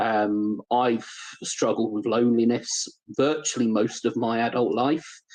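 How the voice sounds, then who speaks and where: A man with a British accent, medium pitch, fairly even intonation and very even loudness. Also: fairly slow pace. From United Kingdom. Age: 40s. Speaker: leadership development specialist, ex-air force. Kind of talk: podcast interview.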